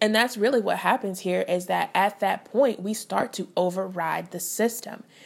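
Fairly high in pitch, a woman talks with a normal speaking voice and fairly even intonation. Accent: American. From US Midwest, St. Louis, Missouri. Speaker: dietitian, podcast host. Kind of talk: solo podcast monologue. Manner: conversational.

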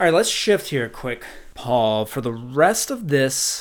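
In a very clean recording with a silent background, a man with a Minnesotan accent talks at a fairly slow pace in a medium pitch. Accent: Minnesota. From Minnesota, US Midwest. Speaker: podcast host. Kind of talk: casual conversational podcast discussion. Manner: enthusiastic, animated.

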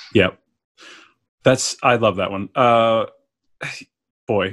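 A man's medium-pitched voice at a fairly slow pace, with ordinary pitch variation and a quiet background. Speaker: podcast host. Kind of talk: casual interview chat.

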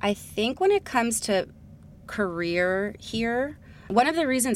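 In an American accent, an ordinary speaking voice moves at a moderate pace with lively intonation. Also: woman. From New Jersey, US. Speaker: entrepreneur and journalist. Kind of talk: interview conversation. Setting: studio.

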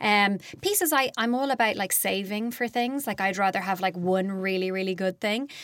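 With an Irish accent, the speaker talks at a moderate pace with ordinary pitch variation and very even loudness in a very clean recording with a silent background. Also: woman, medium pitch for a woman. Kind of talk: interview.

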